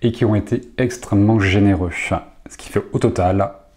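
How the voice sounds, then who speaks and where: With a dark, mellow tone, a man speaks at a fairly low pitch, somewhat breathy and with fairly even intonation. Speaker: association founder. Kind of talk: video report to supporters.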